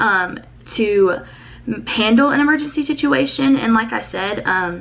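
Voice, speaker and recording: A woman with a fairly high pitch speaks with lively intonation against noticeable background noise. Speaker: college program applicant. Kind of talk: interview answer. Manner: fast.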